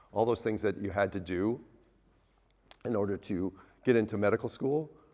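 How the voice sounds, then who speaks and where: A man speaks with an Upper Midwest accent at a fairly low pitch and a fairly quick pace, with ordinary pitch variation. The recording is very clean, with a silent background. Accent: Upper Midwest American. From US Midwest, Minnesota. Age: 60s. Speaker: obstetrician. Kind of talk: talk to a live audience. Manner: halting, with repeated words.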